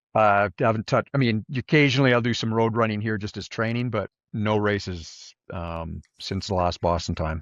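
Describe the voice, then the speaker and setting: A man speaks in a normal speaking voice at a moderate pace, his fairly low pitch moving with ordinary variation in a dry, close sound with no echo. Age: 60s. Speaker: ultrarunner. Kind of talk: interview.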